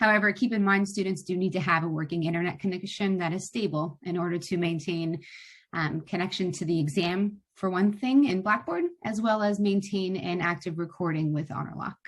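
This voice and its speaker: This woman's voice is somewhat breathy. She talks fairly quickly. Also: medium pitch for a woman, ordinary pitch variation. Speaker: software trainer. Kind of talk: online training session. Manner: fast.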